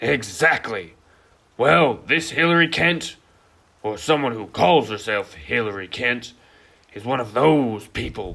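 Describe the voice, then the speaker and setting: A man does a raspy put-on character voice at medium pitch, speaking fairly slowly with long, frequent pauses, in a very clean recording with a silent background. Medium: stage play. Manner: excitable, fretful.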